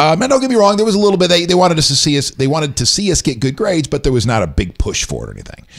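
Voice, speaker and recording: Over noticeable background noise, a man with an American accent talks very fast, hardly pausing. His pitch sits fairly high and swings very widely. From US South, rural Ocoee area. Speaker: interview guest. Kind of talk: casual interview chat. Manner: halting, many fillers and restarts.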